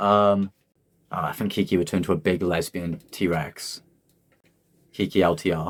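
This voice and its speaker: Very deep, low man's voice with a slight Welsh accent and fairly even intonation. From South Wales Valleys. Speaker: rapper. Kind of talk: casual chat. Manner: halting.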